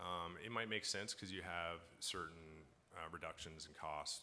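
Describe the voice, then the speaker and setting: With a slight Newfoundland accent and a bright, sharp tone, a man speaks amid audible room echo. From Newfoundland, Canada. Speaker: bitcoin mining company founder. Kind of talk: conference panel Q&A. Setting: stage with audience at conference.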